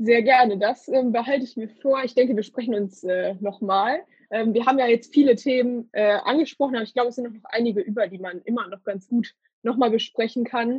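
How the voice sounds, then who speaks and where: A woman with an unremarkable speaking voice, fairly high in pitch, at a fairly quick pace, with ordinary pitch variation and big swings in loudness. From Ruhr area, Germany (Hattingen). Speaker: podcast host. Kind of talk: interview. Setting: remote recording, alone in a room.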